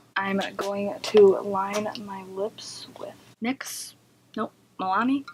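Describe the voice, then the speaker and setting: A woman speaks softly. Her intonation stays fairly even. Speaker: beauty vlogger. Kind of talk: casual chat. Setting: at home. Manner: soft-spoken.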